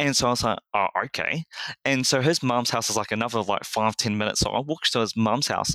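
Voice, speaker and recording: A man with a New Zealand accent, medium pitch, ordinary pitch variation and a bright, sharp tone, in a dry, close sound with no echo. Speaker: church lay leader. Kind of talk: interview.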